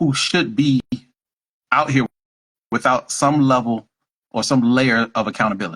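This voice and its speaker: The sound is dry and close with no echo as a man talks at a moderate pace in a fairly high pitch. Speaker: mental health professional. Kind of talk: casual chat. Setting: Instagram live video. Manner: halting, repeats words.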